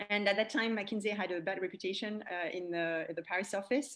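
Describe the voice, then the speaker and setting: A woman speaks with a French accent. Her pitch is medium and her intonation fairly even. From France. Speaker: e-commerce expert and coach. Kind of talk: interview.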